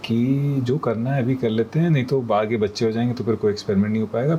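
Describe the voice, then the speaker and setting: Male speech in a normal speaking voice, moderately paced, ordinary pitch variation. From Kanpur, India. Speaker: voice-over artist. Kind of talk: interview answer.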